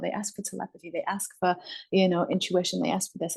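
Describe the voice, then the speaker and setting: Somewhat breathy, this voice belongs to a woman. Her pitch sits in the medium range. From northern England, Manchester. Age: 30s. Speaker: spiritual YouTuber. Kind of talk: casual interview chat.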